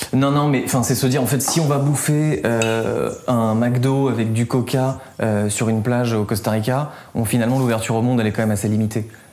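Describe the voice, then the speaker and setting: Audible room echo surrounds a man speaking at a moderate pace. His voice sits at a medium pitch with fairly even intonation. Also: very even loudness. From south-east France. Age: 20s. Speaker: environmental podcaster. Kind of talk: interview.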